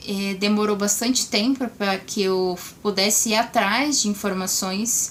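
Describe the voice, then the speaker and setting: Here a woman has an ordinary speaking voice at a medium pitch. She goes at a fairly slow pace with fairly even intonation. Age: 20s. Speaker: vlogger sharing cancer experience. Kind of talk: casual vlog talk to camera.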